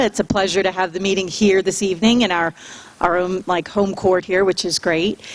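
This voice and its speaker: A woman talks in a normal speaking voice at a moderate pace. Her pitch is medium. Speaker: school principal. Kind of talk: public address at school board meeting; reading list of names. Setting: school board meeting with audience.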